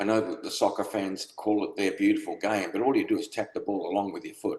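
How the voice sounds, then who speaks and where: This man speaks extremely quickly. His accent is Australian. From South Australia (Adelaide), moved from UK as a child. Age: 70s. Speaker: football supporter, retired police officer. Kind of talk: casual interview.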